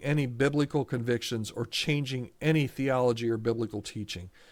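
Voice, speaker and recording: A man with a normal speaking voice, medium in pitch with ordinary pitch variation, at a fairly slow pace, on a very clean recording with a silent background. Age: 60s. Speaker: podcast host for church staffing. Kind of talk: solo podcast commentary. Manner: casual, with frequent repetitions and restarts.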